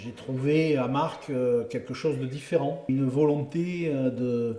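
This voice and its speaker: A man with a southern French accent at a very slow pace, ordinary pitch variation and noticeable background noise. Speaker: former rugby player and club president. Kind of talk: interview answer. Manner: warm, passionate.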